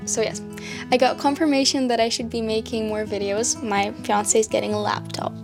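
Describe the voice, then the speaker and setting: A woman's voice moves at a moderate pace. Music plays behind her. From Scotland. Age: young. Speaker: artist. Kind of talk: casual talk to camera.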